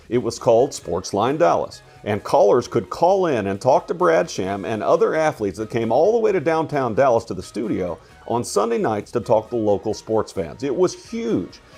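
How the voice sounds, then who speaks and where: With music playing in the background, a man speaks at a medium pitch and a moderate pace. His pitch swings very widely. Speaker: podcast host. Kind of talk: podcast narration.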